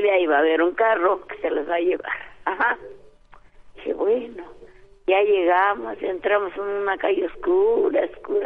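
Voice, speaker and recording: A woman talks at a moderate pace with long, frequent pauses. Noticeable background noise can be heard. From Altamirano, Guerrero, Mexico. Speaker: caller giving testimony. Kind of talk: phone testimony. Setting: phone call.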